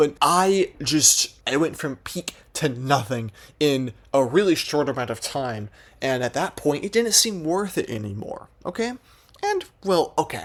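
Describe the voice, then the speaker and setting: Moderately paced speech from a man with a fairly high pitch. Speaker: gaming storytime YouTuber. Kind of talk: storytime monologue. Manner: animated; casual, filler-heavy.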